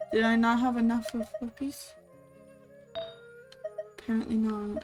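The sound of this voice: A woman's fairly high voice at a fairly slow pace, slightly mellow in tone, with little pitch movement over faint background music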